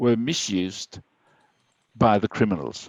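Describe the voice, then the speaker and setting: A man talks at a very slow pace with a Danish accent. The sound is dry and close, with no echo. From Denmark. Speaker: IT security speaker. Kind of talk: webinar presentation. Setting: online webinar.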